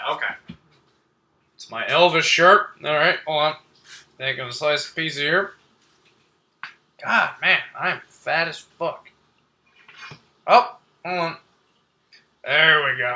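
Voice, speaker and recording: Pausing long and often, a man with a high-pitched voice talks at a fairly slow pace. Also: ordinary pitch variation, big swings in loudness. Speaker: live streamer. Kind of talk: casual chat. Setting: live stream.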